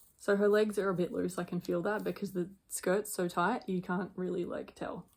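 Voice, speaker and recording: A woman speaks quietly at a moderate pace and medium pitch, with vocal fry. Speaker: doll collector vlogger. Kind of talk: casual chat.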